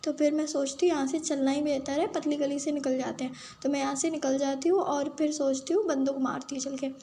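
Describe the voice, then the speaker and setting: A high-pitched woman at a fairly quick pace with fairly even intonation, over noticeable background noise. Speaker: gaming streamer. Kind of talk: gameplay commentary. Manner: casual, chatty.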